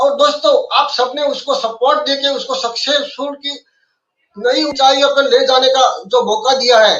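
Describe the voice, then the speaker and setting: This man's pitch is extremely high, and his intonation is fairly even. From India. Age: 70s. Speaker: financial planner. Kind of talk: webinar talk. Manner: formal.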